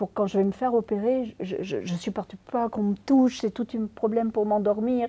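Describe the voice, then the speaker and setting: A woman speaks at a moderate pace with a fairly high pitch and ordinary pitch variation. Her voice has a dark, mellow tone. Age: 60s. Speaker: real-life abuse victim and author whose story inspired the film. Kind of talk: interview testimony. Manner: halting with many repetitions.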